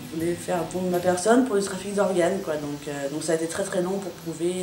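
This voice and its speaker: With ordinary pitch variation and a moderate pace, a woman talks through audible room echo and noticeable background noise. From France (raised from 18 months). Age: 20s. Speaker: adoptee interviewee. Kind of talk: documentary interview. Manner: hesitant, many fillers.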